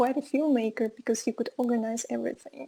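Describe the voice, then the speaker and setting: A woman with a Russian accent, high-pitched yet dark and mellow in tone, monotone and flat, at a moderate pace. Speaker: film course teacher. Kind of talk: online lecture. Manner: hesitant, many fillers.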